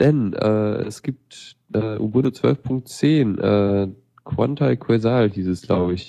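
The speaker talks very slowly. The intonation is lively. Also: man, fairly low pitch for a man. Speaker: radio show co-host. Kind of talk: casual tech news chat. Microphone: unstable internet connection.

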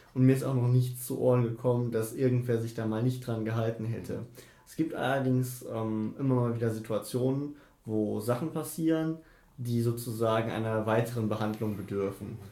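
In a room with audible echo, a man with a medium-pitched, dark, mellow, somewhat breathy voice speaks at a moderate pace with fairly even intonation. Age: 20s. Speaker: student union treasurer. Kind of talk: interview. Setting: office.

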